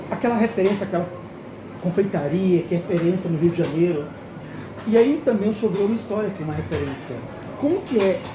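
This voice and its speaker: Through noticeable background noise and audible room echo, a high-pitched man speaks at a very fast pace with ordinary pitch variation and long, frequent pauses. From Brasília, Brazil. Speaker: customer experience consultant and channel host. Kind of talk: travel vlog and interview. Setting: on location in a Lisbon restaurant. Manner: animated.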